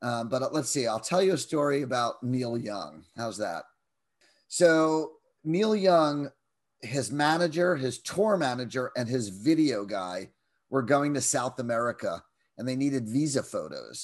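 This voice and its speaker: A man speaks in a plain, everyday voice at medium pitch, with lively intonation and a fairly slow pace. The background is quiet. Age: 50s. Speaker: music photographer. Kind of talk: interview.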